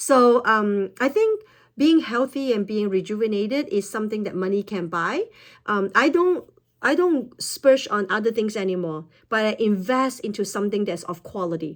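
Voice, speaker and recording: A woman has an ordinary speaking voice, pitched fairly high, with lively intonation at a moderate pace. The recording is very clean, with a silent background. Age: 50s. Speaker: wellness product promoter. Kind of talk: product talk to camera.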